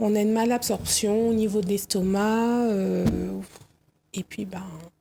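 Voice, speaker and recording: A woman's somewhat breathy, dark, mellow voice at a medium pitch with monotone, flat intonation. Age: 30s. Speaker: guest sharing personal experience. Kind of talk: testimony.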